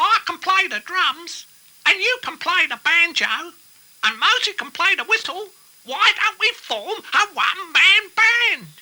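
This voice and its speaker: A cartoonish character voice at an extremely high pitch speaks at a fairly slow pace. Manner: eager.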